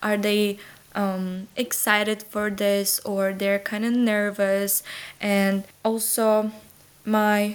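The woman speaks with a Ukrainian accent at a very slow pace. Her intonation is flat and monotone. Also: very even loudness. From Ukraine, Lviv. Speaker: exchange student alumna. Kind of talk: interview.

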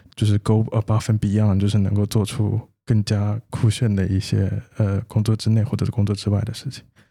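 Fairly quick with hardly any pauses, a man speaks at a fairly low pitch in a dark, mellow, somewhat breathy tone with monotone, flat intonation. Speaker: podcast co-host, developer. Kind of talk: casual chat.

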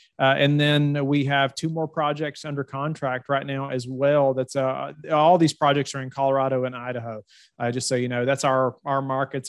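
A man with a Southern US accent speaks at a moderate pace in a monotone, flat intonation. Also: hardly any pauses. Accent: warm Southern US. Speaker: real estate fund manager. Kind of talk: interview. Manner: halting, many fillers and repeats.

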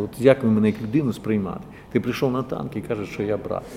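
A man talks with ordinary pitch variation while music plays in the background. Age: old. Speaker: theatre director and regional councillor. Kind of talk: testimony interview.

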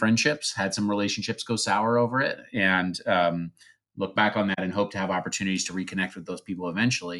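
With an American accent, a man talks at a fairly quick pace in a fairly low pitch with a bright, sharp tone, in a very clean recording with a silent background. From US Midwest, Pekin, Illinois. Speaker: former atheist, nonprofit leader. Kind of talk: testimony interview. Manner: halting, many fillers.

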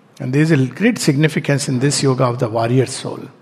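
Noticeable background noise and audible room echo behind a man's voice. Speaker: spiritual teacher. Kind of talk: lecture.

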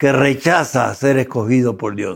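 Speaking at a very slow pace with ordinary pitch variation, a man is captured on a very clean recording with a silent background. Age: 80s+. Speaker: academic thinker on ethics and philosophy. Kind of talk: interview conversation.

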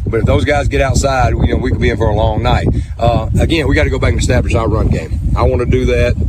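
A man with an American accent, very deep and low in pitch, very fast, with very wide pitch swings, very even loudness and noticeable background noise. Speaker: high school football coach. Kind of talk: pregame interview. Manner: halting, with frequent fillers.

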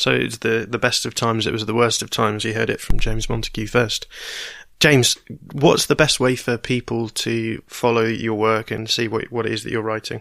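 On a very clean recording with a silent background, a man speaks fairly quickly at medium pitch, with a bright, sharp tone, vocal fry and flat, monotone intonation. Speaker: podcast host. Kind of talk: interview intro and questions.

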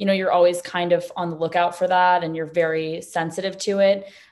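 A woman with an American accent talks at a fairly quick pace. She has a normal speaking voice with medium pitch. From New York City. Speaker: entrepreneur. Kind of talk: interview.

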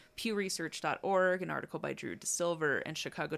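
A lively, up-and-down intonation with vocal fry comes at a moderate pace over a very clean recording with a silent background. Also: woman. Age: 30s. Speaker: podcast co-host. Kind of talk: casual chat; storytelling from research notes.

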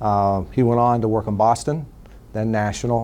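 At a moderate pace, a man speaks in a dark, mellow tone with a medium pitch. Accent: American. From western Pennsylvania (New Castle, Pittsburgh area). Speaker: nonprofit executive. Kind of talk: interview.

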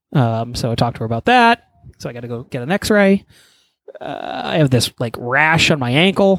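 Moderate pace, very wide pitch swings, and a dry, close sound with no echo. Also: man, fairly high pitch for a man. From Texas. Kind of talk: casual chat.

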